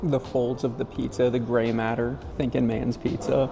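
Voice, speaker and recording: Music plays in the background. Over it, a man speaks at a moderate pace with a medium pitch. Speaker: food vlogger. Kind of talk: casual vlog commentary. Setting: indoor food court. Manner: whispering.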